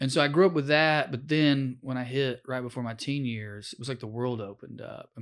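At a moderate pace, a man with an American accent speaks with ordinary pitch variation on a very clean recording with a silent background. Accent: Southern US, Tennessee, slight now. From rural Tennessee, US. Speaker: comedian and former public defender. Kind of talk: casual interview. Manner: animated, joking.

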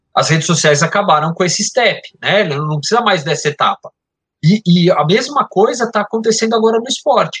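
At a fairly quick pace, a man talks with a high pitch and lively intonation in a dry, close sound with no echo. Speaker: sports marketing media executive. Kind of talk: casual chat.

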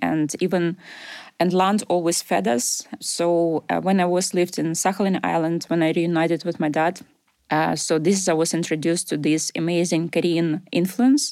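On a very clean recording with a silent background, a woman with a fairly low voice and a dark, mellow tone speaks at a moderate pace, her intonation fairly even and her loudness very even. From Ukraine. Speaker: food business founder. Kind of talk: radio interview. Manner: halting non-native speech.

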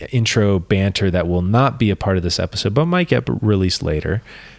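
This man's voice sits fairly low in pitch, with ordinary pitch variation. He talks at a fairly quick pace. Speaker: podcast co-host. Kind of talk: casual chat. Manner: halting, tripping over words.

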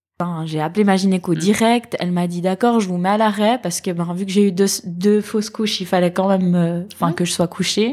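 A woman of medium pitch speaks in a dark, mellow tone with fairly even intonation. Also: fairly quick pace, hardly any pauses. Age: 30s. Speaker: mother of a child with cancer. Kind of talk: testimony. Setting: at her mother's home.

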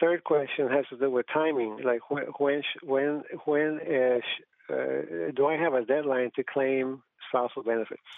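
Fairly high male voice, its pitch moving in an ordinary way. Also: fairly slow pace. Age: 60s. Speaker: retired teacher calling in. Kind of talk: call-in question. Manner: halting, many fillers.

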